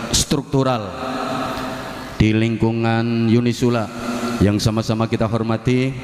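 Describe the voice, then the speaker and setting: Audible room echo surrounds a man speaking in a monotone, flat voice. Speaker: preacher. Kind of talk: sermon. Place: hall. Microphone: handheld.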